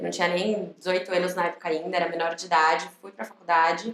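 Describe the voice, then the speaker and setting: A woman with a São Paulo accent and a medium pitch. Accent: Brazilian Portuguese, São Paulo. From Brazil, São Paulo. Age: 20s. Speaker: recruitment manager and psychologist. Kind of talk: podcast interview. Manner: casual, conversational.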